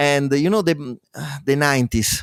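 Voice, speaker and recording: The sound is dry and close with no echo as a man talks in a fairly high pitch. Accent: Italian. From Italy. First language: Italian. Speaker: demo coder and musician. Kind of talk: interview. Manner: halting.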